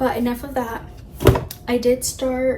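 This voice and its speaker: Talking at a moderate pace, a woman with a fairly high pitch is heard through audible room echo and noticeable background noise. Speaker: booktuber. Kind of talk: casual vlog talk. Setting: in bed at night. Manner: animated; quiet, late at night.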